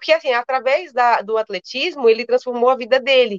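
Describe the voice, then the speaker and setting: A woman talks at a fairly quick pace in a normal speaking voice, her pitch fairly high. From Natal, Rio Grande do Norte, Brazil. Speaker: long-distance runner. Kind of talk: interview. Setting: live stream.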